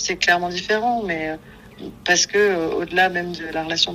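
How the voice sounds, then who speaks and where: A woman's unremarkable speaking voice, fairly low in pitch, with fairly even intonation. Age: 30s. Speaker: psycho-corporal therapist. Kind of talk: casual interview.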